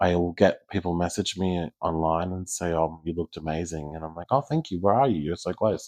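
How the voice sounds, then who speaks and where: A man with a very deep, low pitch and an Australian accent talks at a fairly quick pace with hardly any pauses. His pitch varies in an ordinary way against a quiet background. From Australia, Geelong. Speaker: community leader, pageant titleholder. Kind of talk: casual interview chat. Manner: hesitant fillers (um, uh).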